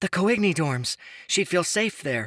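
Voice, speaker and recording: A man's put-on character voice, high-pitched with very wide pitch swings, at a fairly slow pace. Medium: read story.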